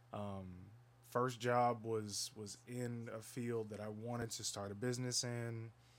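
A man with a medium pitch speaks fairly slowly in a monotone, flat intonation. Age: young. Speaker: podcast co-host and entrepreneur. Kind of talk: casual chat.

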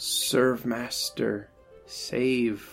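The speaker uses a raspy, put-on character voice. Faint music plays in the background. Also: man, medium pitch for a man.

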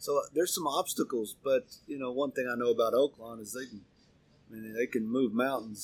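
A man with an American accent, at a fairly quick pace in a monotone, flat intonation. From Oklahoma, Arkansas border. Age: 50s. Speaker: racehorse trainer. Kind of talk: interview.

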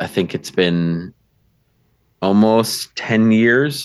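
A man with a medium pitch speaks at a very slow pace. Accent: American. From US Midwest, Milwaukee, Wisconsin. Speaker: ballroom dancer and actual play game master. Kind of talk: casual interview chat.

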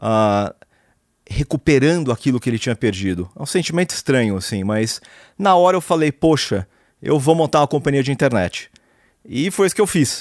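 Very wide pitch swings mark a man's voice, captured as a dry, close sound with no echo on a very clean recording with a silent background. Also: fairly high pitch for a man, moderate pace. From Brazil, São Paulo city. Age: 40s. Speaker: serial entrepreneur. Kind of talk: interview.

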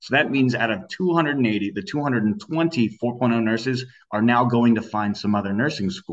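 With an American accent, a man talks at a fairly slow pace in an ordinary speaking voice. His medium pitch carries lively intonation. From Sacramento, California. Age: 20s. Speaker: political campaign advocate. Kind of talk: interview.

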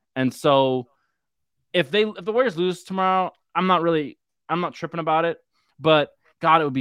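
Speaking in a Californian accent, a man with a fairly high voice moves at a fairly quick pace with ordinary pitch variation. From San Francisco. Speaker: sports fan guest. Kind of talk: casual chat. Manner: animated.

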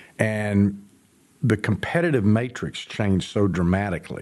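Here is a man with a plain, everyday voice. His intonation is lively against a quiet background. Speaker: author and entrepreneur. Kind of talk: casual chat. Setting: studio.

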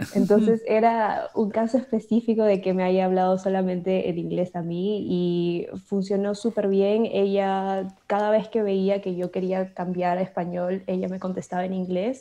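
The tone is dark and mellow, with flat, monotone intonation, against a quiet background. Delivery is fairly slow, with hardly any pauses. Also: woman, medium pitch for a woman. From Peru. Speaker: bilingual YouTuber. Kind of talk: interview.

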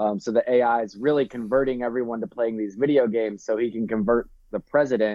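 An unremarkable speaking voice from a man, medium in pitch, with fairly even intonation at a moderate pace. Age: 30s. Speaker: artist. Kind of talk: casual chat.

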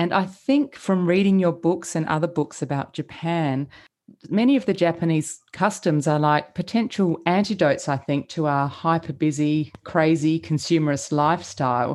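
This woman has a normal speaking voice, fairly low in pitch, with ordinary pitch variation at a moderate pace. The recording is very clean, with a silent background. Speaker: podcast host. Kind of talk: interview, scripted intro.

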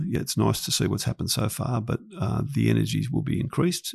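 Noticeable background noise runs under this clip. A man talks very fast with an Australian accent. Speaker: podcast host, land development business. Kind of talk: casual podcast chat. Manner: jokey, friendly.

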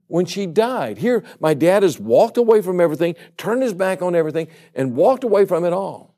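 A man speaks very fast with a Louisiana accent, his intonation lively. His pitch sits high, and his tone is dark and mellow. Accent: Southern US (Louisiana). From US South, Baton Rouge, Louisiana. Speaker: evangelist. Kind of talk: sermon.

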